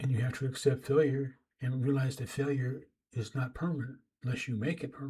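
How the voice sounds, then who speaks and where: At a very fast pace, a man speaks in a somewhat breathy, dark, mellow voice of medium pitch with monotone, flat intonation. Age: 60s. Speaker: writer and YouTuber giving life advice. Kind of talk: advice monologue to camera. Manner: halting, repeats words; casual, conversational.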